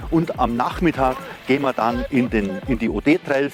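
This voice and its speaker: Lively intonation from a man at a moderate pace, with noticeable background noise behind him. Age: 60s. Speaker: mountain bike guide. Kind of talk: interview talk. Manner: casual.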